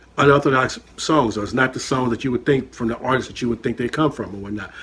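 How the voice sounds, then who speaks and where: Very fast American-accented speech from a man at medium pitch, fairly even intonation, and noticeable background noise. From San Francisco Bay Area (Richmond, California). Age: 50s. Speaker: chef and reaction channel host. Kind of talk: casual reaction commentary, personal testimony. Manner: loud; conversational, filler-heavy.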